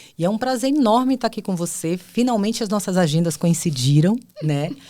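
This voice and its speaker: On a very clean recording with a silent background, a woman with a strong Bahian accent speaks fairly quickly at medium pitch, her dark, mellow tone moving through very wide pitch swings. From Bahia, Brazil (Ilhéus, southern Bahia). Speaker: HR executive and psychologist. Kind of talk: podcast interview.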